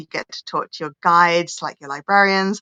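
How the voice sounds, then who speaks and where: A woman speaks at a moderate pace with medium pitch, ordinary pitch variation and a bright, sharp tone, the sound dry and close with no echo over a quiet background. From England. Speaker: holistic healer and spiritual coach. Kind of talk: podcast interview.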